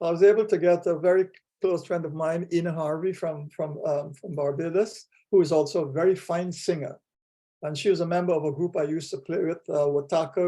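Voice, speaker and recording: A man's high-pitched voice with a dark, mellow tone, a fairly quick pace and fairly even intonation. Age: 80s+. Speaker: artist. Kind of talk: personal reminiscence on video call. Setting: video call. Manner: halting, with many fillers.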